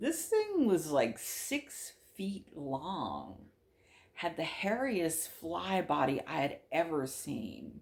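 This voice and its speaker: A woman talks at a very slow pace with vocal fry. Her pitch is fairly low. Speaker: witch sharing supernatural experiences. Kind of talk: casual storytelling monologue. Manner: conversational with fillers.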